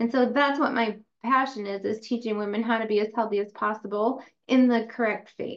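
In an American accent, a woman talks at a fairly quick pace with a fairly high pitch and monotone, flat intonation. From upstate New York. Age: 40s. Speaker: chiropractor and podcast host. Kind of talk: lecture.

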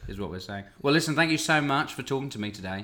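Audible room echo surrounds a man with a British accent whose tone is bright and sharp and whose pitch variation is ordinary. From Britain. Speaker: podcast host, actor. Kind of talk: casual interview chat.

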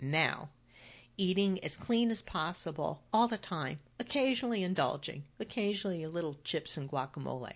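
A woman speaks with a fairly low pitch. Her pace is moderate, and the background is quiet. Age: 60s. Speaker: weight loss coach and podcast host. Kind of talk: solo podcast monologue. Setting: home office.

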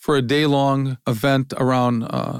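With a Midwestern American accent, a man of medium pitch speaks in a monotone, flat intonation on a very clean recording with a silent background and a dry, close sound with no echo. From Ohio, US Midwest. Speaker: business founder and publisher. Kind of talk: interview conversation.

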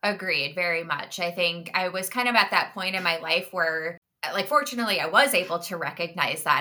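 Speaking with an American accent at a moderate pace, a woman uses a normal speaking voice that sits fairly low in pitch. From Minnesota (Minneapolis). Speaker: health coach sharing eating disorder recovery story. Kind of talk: interview.

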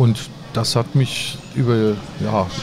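Recorded with audible room echo and noticeable background noise, a man speaks at a medium pitch. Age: 50s. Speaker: IT consultancy founder and CEO. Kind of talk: interview. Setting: conference venue. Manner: halting.

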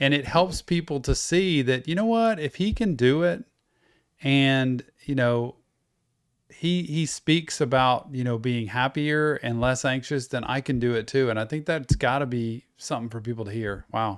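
The recording is very clean with a silent background. A man with a plain, everyday voice speaks at medium pitch and a moderate pace. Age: 50s. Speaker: podcast host. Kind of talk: casual interview conversation.

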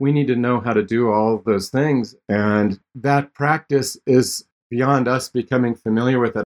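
A man talks at a fairly slow pace with hardly any pauses, very even loudness and fairly even intonation. The sound is dry and close, with no echo. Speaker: instructional designer. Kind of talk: podcast interview about teaching with video conferencing.

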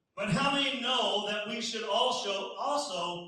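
Audible room echo follows a raised, projected voice moving at a very slow pace. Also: man. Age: 50s. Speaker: pastor. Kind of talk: sermon.

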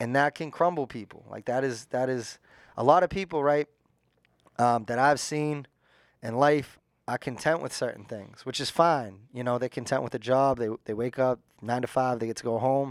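In a very clean recording with a silent background and a dry, close sound with no echo, a man with a plain, everyday voice speaks at a medium pitch and a moderate pace. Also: ordinary pitch variation. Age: 30s. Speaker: treatment center director in recovery. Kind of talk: casual interview.

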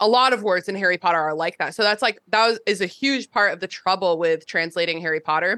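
A woman talks very fast in a bright, sharp tone with hardly any pauses. The sound is dry and close, with no echo. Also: medium pitch for a woman, ordinary pitch variation. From US, northern Virginia. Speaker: podcast host. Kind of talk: casual chat.

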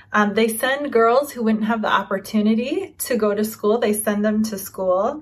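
The voice has a warm tone and sounds somewhat breathy. It moves at a fairly slow pace with ordinary pitch variation. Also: woman. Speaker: podcast host. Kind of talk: casual interview chat. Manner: warm, encouraging.

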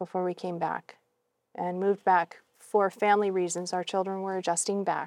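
A woman's unremarkable speaking voice with an American accent, medium in pitch and moderate in pace, in a very clean recording with a silent background and a dry, close sound with no echo. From New England, US. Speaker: missionary and mission trainer. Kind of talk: interview.

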